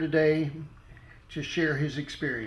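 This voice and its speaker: Audible room echo surrounds a man whose fairly high voice moves at a fairly slow pace. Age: 60s. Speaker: former Baptist minister. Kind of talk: personal testimony monologue. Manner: hesitant, many fillers.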